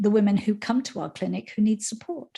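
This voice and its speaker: On a very clean recording with a silent background, a woman with a fairly high pitch speaks somewhat breathily with lively intonation. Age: 60s. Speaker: menopause educator. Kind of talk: interview.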